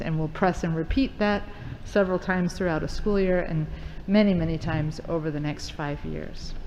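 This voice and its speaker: A woman talks at a fairly quick pace with fairly even intonation. Noticeable background noise and audible room echo come through. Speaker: school district administrator. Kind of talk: presentation to school board. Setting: board meeting. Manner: fast.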